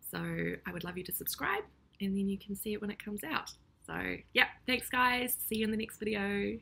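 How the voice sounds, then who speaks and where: A woman with a New Zealand accent talks at a fairly quick pace. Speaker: YouTuber reacting to videos. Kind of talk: casual reaction vlog. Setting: home recording. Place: kitchen. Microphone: webcam.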